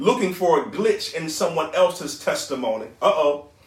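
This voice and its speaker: Over noticeable background noise, a man with a high voice talks in an animated tone at a fairly slow pace. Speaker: preacher. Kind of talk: sermon. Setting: online church broadcast. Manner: animated, exhorting call-and-response delivery, urging the crowd to shout along; fervent, rhythmic, repeating praise words.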